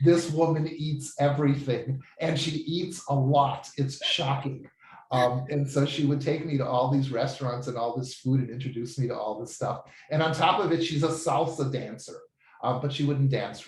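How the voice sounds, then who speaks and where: Sounding enthusiastic, a man speaks at a fairly high pitch with noticeable background noise. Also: ordinary pitch variation, moderate pace. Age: 70s. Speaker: language student giving a testimonial. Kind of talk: testimony.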